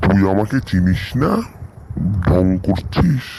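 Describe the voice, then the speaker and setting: Someone performs a cartoonish character voice over clear background noise. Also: man, very deep, low pitch for a man. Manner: gruff, scolding.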